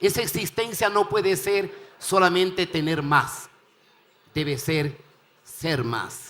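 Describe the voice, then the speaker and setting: Speaking very slowly with long, frequent pauses, a man uses a high pitch, a bright, sharp tone and ordinary pitch variation. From Ecuador. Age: 70s. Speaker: panel guest. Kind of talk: closing remarks in panel discussion.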